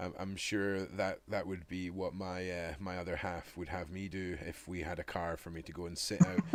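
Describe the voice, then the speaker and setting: A man's very deep, low voice in a Scottish accent at a moderate pace with hardly any pauses, in a very clean recording with a silent background. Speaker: live stream host. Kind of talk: casual chat. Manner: loud; animated.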